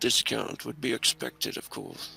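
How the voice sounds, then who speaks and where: A man speaks at a moderate pace in a put-on character voice. His voice is raspy. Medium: actual play. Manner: terse, clipped.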